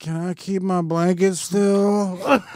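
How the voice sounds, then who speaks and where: A put-on character voice sits at a middle pitch. The words come out mumbled. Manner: sleepy, mumbling.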